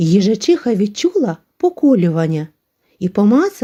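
Someone does plain reading aloud. Behind the voice, the background stays quiet.

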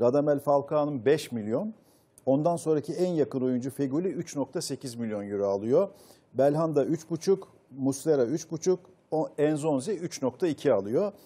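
A very slow, fairly high-pitched man's voice with a dark, mellow tone and lively intonation. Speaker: football pundit. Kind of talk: panel discussion. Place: studio. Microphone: lapel.

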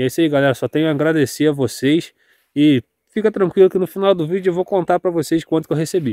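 In a dry recording with no echo and a quiet background, a man speaks with a dark, mellow tone, a fairly high pitch and ordinary pitch variation. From Brazil, interior of Rio de Janeiro state (serrana region). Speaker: farmer and rural vlogger; small farmer vlogger. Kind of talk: casual vlog. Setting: outdoors. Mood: grateful, relaxed. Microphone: phone near.

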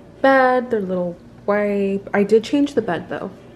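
Ordinary pitch variation over music in the background. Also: woman. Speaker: vlogger and waxing business owner. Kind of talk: casual vlog. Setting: in a car.

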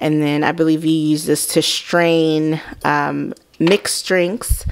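A woman talks at a very slow pace in a very deep, low pitch. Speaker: home vlogger. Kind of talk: casual home tour narration. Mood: enthusiastic. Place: home room. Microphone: phone near.

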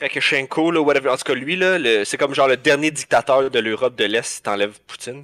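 In a Quebec accent, a man talks at a fairly quick pace with a fairly high pitch, ordinary pitch variation and a bright, sharp tone. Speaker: podcast co-host. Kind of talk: casual chat. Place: home room.

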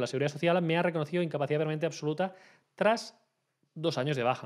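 The background is quiet around a man. His pitch moves in an ordinary way. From Spain. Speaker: labour and social security lawyer; social security lawyer. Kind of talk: Q&A video answering viewer questions. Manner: hesitant with frequent fillers. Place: home room. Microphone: studio mic.

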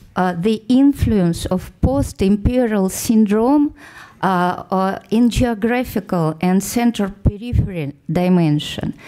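A woman with a Russian accent, medium pitch, lively intonation and a very slow pace. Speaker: social scientist on a conference panel. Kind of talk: conference panel presentation. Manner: halting, many hesitations and false starts.

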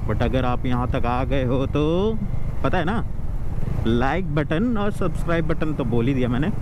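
Recorded dry with no echo but noticeable background noise, a man speaks at a moderate pace with ordinary pitch variation. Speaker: motovlogger. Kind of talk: casual vlog chat. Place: motorbike. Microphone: helmet.

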